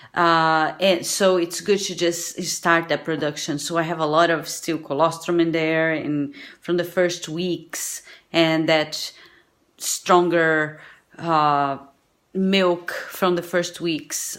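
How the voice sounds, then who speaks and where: A woman with a Portuguese accent, fairly low in pitch, monotone and flat, at a very slow pace. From Brazil. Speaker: vlogger and singer-songwriter. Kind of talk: casual vlog talk to camera. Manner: halting, searching for words.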